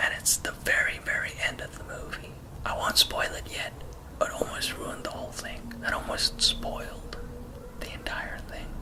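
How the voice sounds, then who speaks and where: A man whispering at a moderate pace, with big swings in loudness and noticeable background noise. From South Africa. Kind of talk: ASMR-style movie review to camera, casual opinion. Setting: outdoors with traffic noises and barking dogs. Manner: casual, opinionated, critical.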